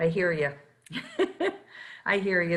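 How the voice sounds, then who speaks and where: A woman with a Philadelphia accent talks in a bright, sharp tone. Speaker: nonprofit federation leader, interviewer. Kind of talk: interview.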